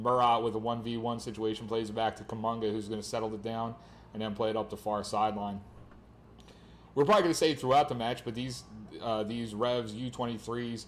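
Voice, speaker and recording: A man's medium-pitched voice with an American accent, fairly quick in pace and monotone, flat in intonation. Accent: Philadelphia, noticeable on some words. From Philadelphia. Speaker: soccer play-by-play commentator. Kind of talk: live commentary.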